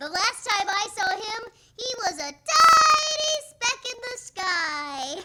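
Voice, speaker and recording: A squeaky, put-on character voice at an extremely high pitch moves very slowly with very wide pitch swings. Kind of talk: 1940s radio comedy. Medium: audio drama. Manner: giggling.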